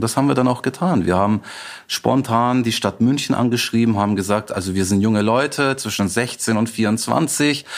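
A man with an ordinary speaking voice keeps a very even loudness, a medium pitch, ordinary pitch variation and a moderate pace. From Bavaria, rural area near Munich. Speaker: festival founder and migration activist. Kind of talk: interview. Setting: remote call.

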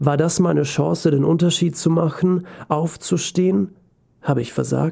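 Slow-ish at a fairly slow pace, a man's fairly high-pitched voice carries a dark, mellow tone with ordinary pitch variation. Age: 20s. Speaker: podcast host and author. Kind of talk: personal essay monologue. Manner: emotional.

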